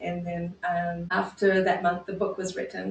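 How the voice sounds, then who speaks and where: There is a non-native accent in this woman's speech. Her voice sounds somewhat breathy. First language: not English. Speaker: psychotherapist. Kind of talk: interview.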